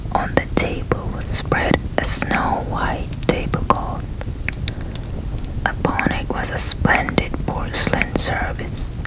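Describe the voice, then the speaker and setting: A whisper delivered at a very slow pace. Background noise is noticeable. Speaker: ASMR storyteller. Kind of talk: whispered story reading, ASMR. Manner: whispered.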